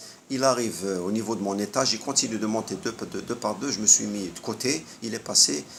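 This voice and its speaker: This man has a fairly low-pitched voice with ordinary pitch variation. He talks with hardly any pauses. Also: moderate pace. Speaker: health vlogger. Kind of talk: monologue. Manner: hesitant.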